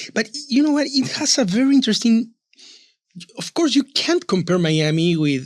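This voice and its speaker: A man with a Peruvian accent speaks at a moderate pace, his extremely high pitch swinging very widely. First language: Spanish. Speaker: author and publisher. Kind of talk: interview conversation. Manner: halting, repeats words.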